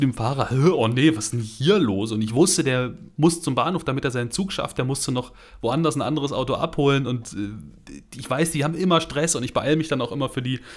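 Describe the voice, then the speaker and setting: A normal speaking voice moves at a fairly quick pace with ordinary pitch variation, on a very clean recording with a silent background. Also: man. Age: 30s. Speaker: car podcast co-host. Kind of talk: casual chat.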